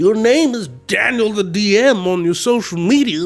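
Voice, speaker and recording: A man speaks in a high pitch. Music plays in the background. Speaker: tabletop gaming YouTuber, dungeon master. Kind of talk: casual chat. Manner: animated; slower, taking his time.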